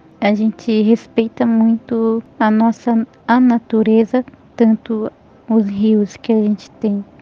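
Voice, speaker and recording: Very slow, somewhat breathy speech in a Paraguayan accent, with monotone, flat intonation and very even loudness. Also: woman, fairly high pitch for a woman. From Brazil, Guarani village in Santa Catarina. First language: Guarani (speaking Portuguese). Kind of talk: interview. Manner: halting.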